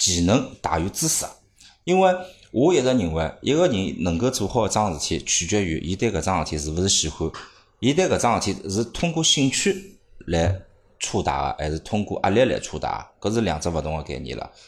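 In a very clean recording with a silent background, a man speaks in a somewhat breathy voice with very wide pitch swings. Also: fairly low pitch for a man, moderate pace. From Shanghai. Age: 30s. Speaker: marketing manager at study-abroad agency. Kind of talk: casual chat.

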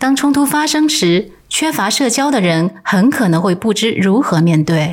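A woman speaks at a fairly slow pace with hardly any pauses and very even loudness. Her pitch is medium, with very wide swings. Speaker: podcast co-host. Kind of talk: co-hosted podcast, partly scripted talk.

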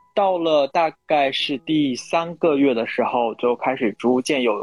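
Recorded with a dry, close sound and no echo, a man speaks in a fairly high voice with ordinary pitch variation. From northeastern China. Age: 20s. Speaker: podcast guest. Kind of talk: casual chat.

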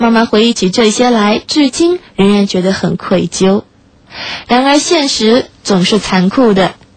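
With lively intonation and very even loudness, a woman speaks fairly slowly at a fairly high pitch over noticeable background noise. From Shanghai, China. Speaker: late-night radio host. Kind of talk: reading aloud a listener's story; radio presenting, addressing listeners.

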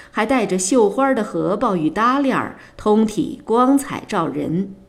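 Her pitch jumps very widely. This woman talks very slowly. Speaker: audiobook narrator. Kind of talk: literary audiobook reading, narrating novel text with character dialogue. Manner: measured, storytelling pace with gently wry, expressive character voices.

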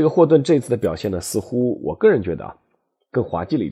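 Over a quiet background, a man with a dark, mellow tone and vocal fry speaks at a medium pitch with very wide pitch swings. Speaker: history podcast host, former sports journalist. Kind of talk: storytelling monologue. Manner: conversational, many filler particles.

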